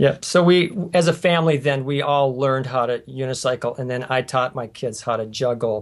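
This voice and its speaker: An unremarkable speaking voice, a man with an American accent talks at a fairly quick pace and medium pitch, with ordinary pitch variation and hardly any pauses. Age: 60s. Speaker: family circus performer, juggler. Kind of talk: interview.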